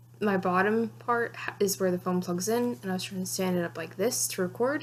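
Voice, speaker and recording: The voice swings very widely in pitch. It moves at a fairly quick pace. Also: woman. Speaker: vlogger. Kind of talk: casual vlog talk. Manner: halting, self-correcting; fast, rambling speech.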